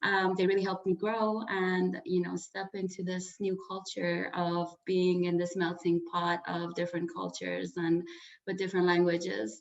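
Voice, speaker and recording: A woman with an Iranian accent speaks at a moderate pace in a fairly low pitch. Her intonation is fairly even, and there is noticeable background noise. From Iran, moved to Orange County at eleven. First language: Farsi. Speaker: sound healer and life coach. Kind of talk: interview.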